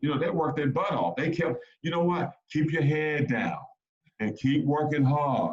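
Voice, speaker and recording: A fairly high-pitched male voice, animated in tone, at a moderate pace. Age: 50s. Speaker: former college basketball player and sports dad. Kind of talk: casual chat. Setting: video call.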